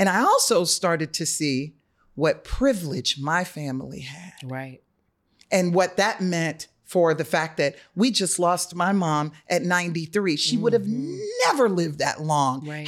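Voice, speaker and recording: A woman speaks in a normal speaking voice with an American accent, fairly low in pitch. She goes at a fairly slow pace with lively intonation. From Atlanta, US South. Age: 50s. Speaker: digital media director in public health. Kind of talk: casual chat.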